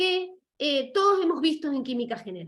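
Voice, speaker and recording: A woman's high voice with very wide pitch swings. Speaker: lecturer. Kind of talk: lecture. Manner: fast; halting.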